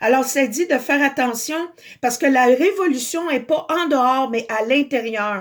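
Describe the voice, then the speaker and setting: A woman with a Quebec accent speaks loudly at a very slow pace and a high pitch, her intonation lively, in a very clean recording with a silent background. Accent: Québécois French. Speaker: spiritual video blogger. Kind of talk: spiritual monologue.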